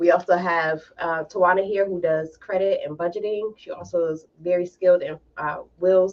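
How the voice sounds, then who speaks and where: Her voice is a plain, everyday voice: a woman with a fairly low pitch, fairly even intonation and a moderate pace. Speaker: podcast host and realtor. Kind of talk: casual panel discussion.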